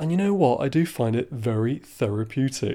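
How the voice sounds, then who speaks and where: Here is a man with an English accent. His tone is dark and mellow. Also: very clean recording, silent background. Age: 20s. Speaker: podcast host. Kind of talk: solo podcast monologue.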